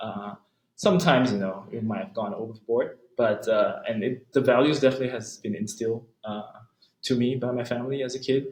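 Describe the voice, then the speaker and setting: The voice is somewhat breathy, moving at a fairly quick pace. Its pitch variation is ordinary. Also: man, medium pitch for a man. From Malaysia. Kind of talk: interview answer. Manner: soft-spoken.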